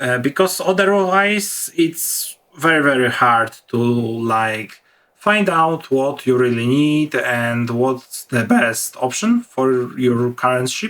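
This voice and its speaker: With a non-native accent, a man of medium pitch talks very slowly but with lively intonation. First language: not English. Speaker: gaming youtuber. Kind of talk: gameplay commentary. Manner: halting.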